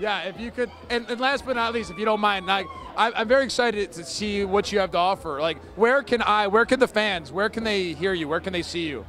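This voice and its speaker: High-pitched male speech at a fairly quick pace, with ordinary pitch variation, hardly any pauses and noticeable background noise. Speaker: ring announcer. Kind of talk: casual interview answer at a wrestling event.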